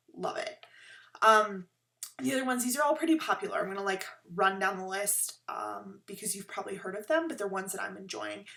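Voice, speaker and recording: Her medium-pitched voice is bright and sharp, with vocal fry and very wide pitch swings. This woman talks at a fairly quick pace with big swings in loudness. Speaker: knitting podcaster. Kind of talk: casual chat.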